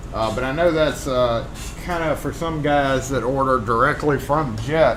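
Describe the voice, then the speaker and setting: Over noticeable background noise and audible room echo, a man with a Southern US accent talks at a moderate pace and medium pitch. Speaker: locksmith, live stream host. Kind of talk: casual live stream chat. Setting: live stream.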